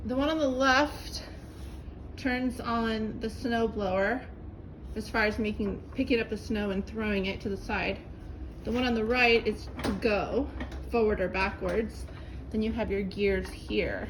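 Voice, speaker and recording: A woman at a fairly slow pace with long, frequent pauses, fairly even intonation, and audible room echo. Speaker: home video maker. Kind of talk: tutorial. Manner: casual.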